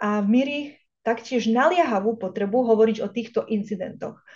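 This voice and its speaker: At a moderate pace, a woman speaks with a fairly high pitch, ordinary pitch variation and a dark, mellow tone. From Vojvodina, Serbia (Slovak minority). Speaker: think tank director and researcher, seminar moderator. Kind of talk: seminar introduction. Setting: online event. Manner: formal.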